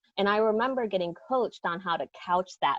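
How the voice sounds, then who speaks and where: A woman with a Lao accent, recorded dry and close with no echo. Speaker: educator. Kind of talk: panel discussion. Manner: direct.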